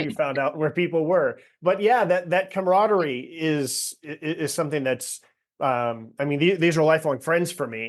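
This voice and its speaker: A man's fairly high, a normal speaking voice, at a moderate pace with ordinary pitch variation. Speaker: podcast host. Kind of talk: casual podcast conversation.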